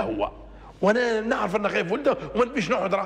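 A man talks at a fairly quick pace with a Libyan accent. His tone is animated and his intonation lively. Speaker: religious TV presenter; TV presenter. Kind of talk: religious talk show monologue. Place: studio. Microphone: lapel.

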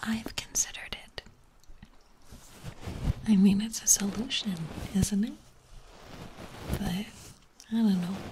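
A soft-spoken woman with fairly even intonation, long and frequent pauses, and noticeable background noise. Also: fairly slow pace. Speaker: ASMR streamer. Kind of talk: ASMR livestream chat. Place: home room. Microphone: studio mic.

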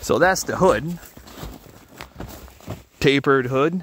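Slowly, a man speaks with big pitch swings around a medium pitch. His voice has a slightly husky edge.

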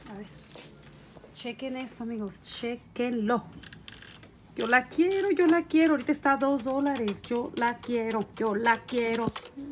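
A woman's high-pitched voice with ordinary pitch variation and big swings in loudness, fairly slow pace, long, frequent pauses, light background noise. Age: 50s. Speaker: YouTuber. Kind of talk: vlog. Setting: in a car. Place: home room. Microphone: phone near.

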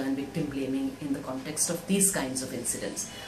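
A woman talks at a moderate pace. Noticeable background noise runs under her voice. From India. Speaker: women's rights activist. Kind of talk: recorded video speech. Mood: earnest, reflective. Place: office. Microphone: phone near.

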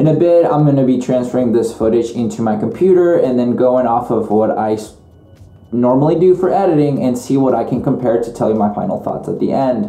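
A man at a fairly quick pace, with audible room echo and faint music in the background. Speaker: vlogger testing microphones. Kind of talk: casual vlog chat. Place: home room. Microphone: camera far.

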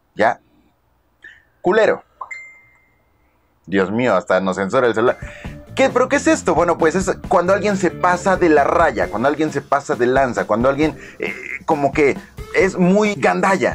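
Over faint music in the background, a man with a fairly high pitch speaks at a moderate pace, with very wide pitch swings and long, frequent pauses. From Mexico. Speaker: vlogger. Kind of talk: casual talk to camera. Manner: upbeat. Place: home room. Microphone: phone near.

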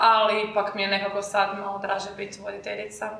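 Audible room echo surrounds a woman's voice. She talks at a fairly high pitch and a fairly quick pace. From Croatia. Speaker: university student, marketing team lead. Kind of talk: casual chat. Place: classroom.

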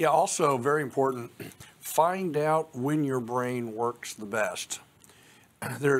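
This man has a normal speaking voice at a medium pitch. He talks at a fairly slow pace with ordinary pitch variation. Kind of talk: panel discussion.

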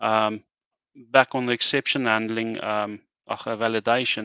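A man's bright, sharp voice, monotone and flat in intonation, set against a quiet background. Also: dry sound with no echo. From South Africa. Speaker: software engineer. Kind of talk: technical demo. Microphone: video call.

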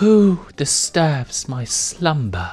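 A put-on character voice bellows at a middle pitch, with music playing in the background. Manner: bellowing, booming.

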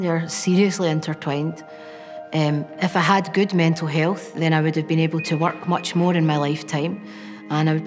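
A woman with a Glaswegian accent speaks at a fairly quick pace, her pitch very deep and low and her intonation flat and monotone. Clear music plays in the background. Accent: Glaswegian Scottish. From Scotland, Glasgow. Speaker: documentary interviewee; interviewee. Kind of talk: personal testimony. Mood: quiet, reflective, serious. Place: classroom. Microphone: lapel.

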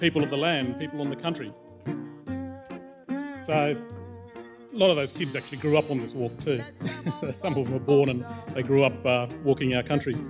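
Clear music sits in the background as the speaker keeps a moderate pace with ordinary pitch variation. Long pauses come often. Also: man. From Western Australia, goldfields desert region. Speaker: anthropologist and cultural leader. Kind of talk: conference talk. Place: hall. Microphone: podium.

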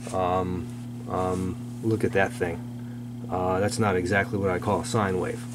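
Noticeable background noise behind a man's voice. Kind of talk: casual technical commentary. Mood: amused disapproval. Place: workshop.

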